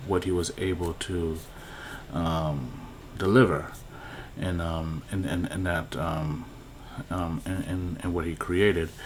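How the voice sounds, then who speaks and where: Very deep and low in pitch, a man talks with fairly even intonation at a very slow pace, leaving long, frequent pauses amid audible room echo. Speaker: YouTuber commenting on movie news. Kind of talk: casual vlog commentary. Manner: halting, many fillers.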